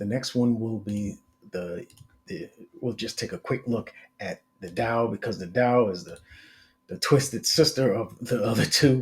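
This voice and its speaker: A man's somewhat breathy voice sits at a medium pitch and a moderate pace. Long, frequent pauses break up his speech. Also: ordinary pitch variation, big swings in loudness. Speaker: market analyst. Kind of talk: tutorial. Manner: casual with many fillers.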